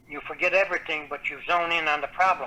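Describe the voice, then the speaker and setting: A man talks very fast while noticeable background noise plays behind him. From Newfoundland. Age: 70s. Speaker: author. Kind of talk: interview.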